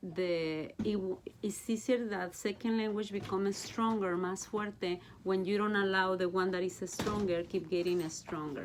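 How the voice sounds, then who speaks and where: A woman with a Mexican accent speaks at a medium pitch and a fairly slow pace, with fairly even intonation. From Mexico. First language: Spanish. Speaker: Bible study teacher. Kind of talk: casual chat.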